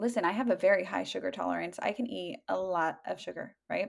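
With an American accent and some vocal fry, a woman speaks fairly quickly at a medium pitch. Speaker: nutritionist. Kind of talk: casual chat.

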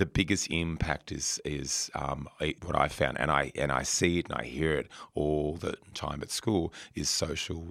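A man with a very deep, low pitch speaks with an Australian accent. His intonation is fairly even, with vocal fry. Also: very clean recording, silent background. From rural New South Wales, Australia. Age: 50s. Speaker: former fashion retailer and school community liaison. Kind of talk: interview. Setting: radio studio. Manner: halting, many repetitions and fillers.

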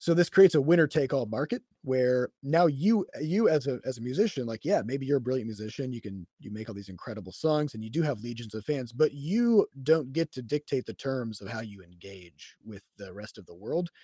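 With a US Midwestern accent, a man at medium pitch speaks at a moderate pace in a dark, mellow tone, with lively intonation and big swings in loudness, in a very clean recording with a silent background and a dry, close sound with no echo. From Iowa, US Midwest. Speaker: game studio CEO and programmer. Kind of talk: casual interview conversation. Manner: halting with fillers and repetitions.

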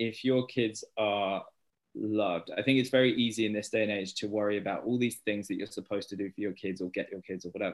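A fairly quick, fairly even delivery in a British accent. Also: man. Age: 30s. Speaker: stay-at-home dad and children's author. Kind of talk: casual interview.

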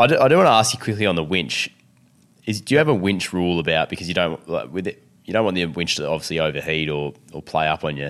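This man's voice is very deep and low. He talks at a very fast pace with ordinary pitch variation. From Victoria, Australia. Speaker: podcast host. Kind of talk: casual chat.

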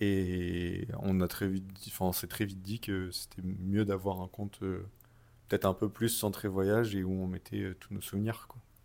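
In a very deep, low voice, a man talks fairly slowly with monotone, flat intonation. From Paris, France. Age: 20s. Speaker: travel podcast co-host. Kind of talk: casual chat.

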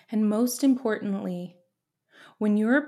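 Her voice is fairly high for a woman, with a dark, mellow, warm tone. It is somewhat breathy, with ordinary pitch variation. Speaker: podcast host. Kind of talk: pep talk; guided visualization. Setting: home office. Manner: warm, encouraging, earnest.

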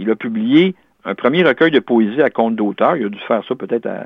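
A man with lively intonation at a moderate pace. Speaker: independent literary researcher. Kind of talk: interview. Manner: halting, many repetitions.

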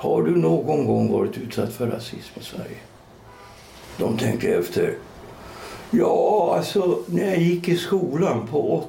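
A man speaks at a very slow pace with audible room echo. Noticeable background noise can be heard. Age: 60s. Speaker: writer and podcast co-host. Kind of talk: casual chat.

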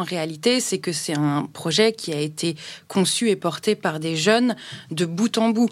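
Here is a normal speaking voice from a woman, fairly low in pitch with ordinary pitch variation. She speaks at a fairly slow pace on a very clean recording with a silent background. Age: 30s. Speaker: festival founder, association president. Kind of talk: casual interview.

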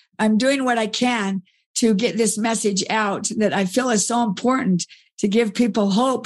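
A somewhat breathy voice at a moderate pace over a quiet background. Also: woman. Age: 60s. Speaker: author and speaker. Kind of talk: interview conversation.

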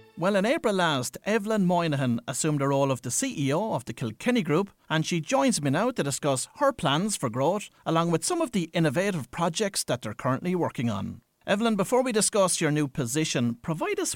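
With an Irish accent, a man speaks at a fairly quick pace with fairly high pitch and very wide pitch swings, the recording very clean with a silent background and a dry, close sound with no echo. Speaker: radio presenter. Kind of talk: radio interview.

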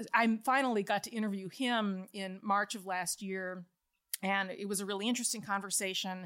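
A woman with an American accent has a plain, everyday voice and medium pitch. She speaks at a moderate pace with fairly even intonation on a very clean recording with a silent background. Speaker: historian and journalist. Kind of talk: interview about personal faith conversion.

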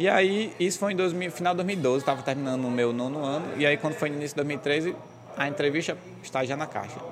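Through noticeable background noise, a man with a fairly high pitch talks at a very fast pace with ordinary pitch variation. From Brazil, Goianinha, Rio Grande do Norte. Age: 20s. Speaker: banker and real estate broker. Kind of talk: casual interview. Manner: laughing a lot.

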